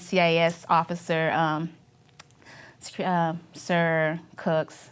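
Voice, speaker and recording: This is a woman speaking. She has a strong Filipino accent. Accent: thick Filipino. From Philippines. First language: Filipino language. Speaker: Navy veteran. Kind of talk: oral history interview. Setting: university media studio. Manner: halting, many fillers.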